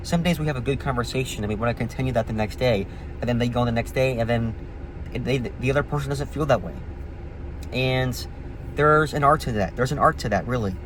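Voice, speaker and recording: A medium-pitched man with lively intonation at a very fast pace, with long, frequent pauses and noticeable background noise. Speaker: vlogger. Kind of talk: casual monologue.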